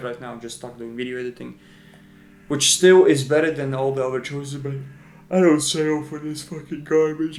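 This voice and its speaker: Ordinary pitch movement from a man with a non-native accent. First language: not English. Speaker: video editor and vlogger. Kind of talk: casual vlog monologue. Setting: at home in front of camera light. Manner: casual, profane, halting.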